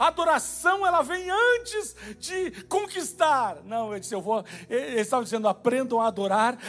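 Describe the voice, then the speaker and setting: This man speaks at a moderate pace. Very wide pitch swings run through his voice. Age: 30s. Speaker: pastor. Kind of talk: sermon. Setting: church.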